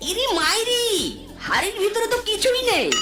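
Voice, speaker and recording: The speaker uses a cartoonish character voice. Loud background noise fills the recording. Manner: sly, playful, fond of the exclamation 'ইরে মাইরি'.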